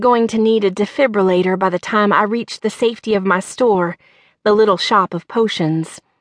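The clip is plain reading aloud. The speaker reads the text as written.

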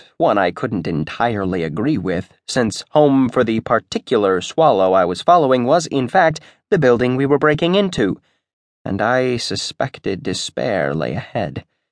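The voice is animated and theatrical, with very wide pitch swings and vocal fry. The sound is dry and close with no echo, over a quiet background. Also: man, medium pitch for a man, moderate pace. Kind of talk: audiobook narration, dramatic first-person fiction. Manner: animated, theatrical, wry storyteller.

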